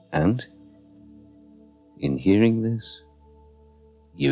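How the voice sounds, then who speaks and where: A man with a Scottish accent, very deep and low in pitch, with very wide pitch swings, a calm tone and a very slow pace, music in the background. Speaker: hypnotherapist. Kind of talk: guided meditation / hypnotherapy narration. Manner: slow, calm.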